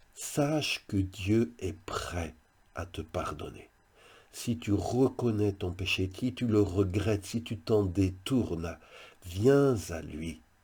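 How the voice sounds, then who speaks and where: Somewhat breathy with a dark, mellow tone, a man speaks at a very slow pace and fairly low pitch, with ordinary pitch variation on a very clean recording with a silent background. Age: 60s. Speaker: pastor. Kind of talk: devotional video message.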